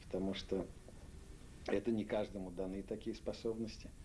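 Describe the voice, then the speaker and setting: His voice is fairly low in pitch for a man, with a dark, mellow tone. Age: 60s. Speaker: literary editor. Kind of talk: interview. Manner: halting.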